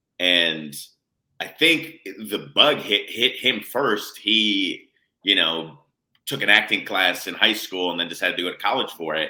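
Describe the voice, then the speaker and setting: A man speaks at a fairly slow pace with lively intonation. His pitch sits fairly low. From United States. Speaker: playwright and composer. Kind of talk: casual interview chat. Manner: halting, many fillers.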